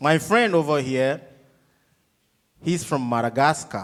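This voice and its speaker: A man with a Ghanaian accent, fairly high in pitch, with ordinary pitch variation. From coastal Ghana. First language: Ga. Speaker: touring musician. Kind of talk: student Q&A. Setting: theatre stage with audience. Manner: animated.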